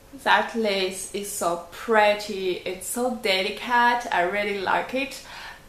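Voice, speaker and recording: With a French accent, a woman speaks at a medium pitch and with fairly even intonation, amid audible room echo and noticeable background noise. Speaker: knitting podcaster and yarn dyer. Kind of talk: casual video podcast. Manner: hesitant, many fillers.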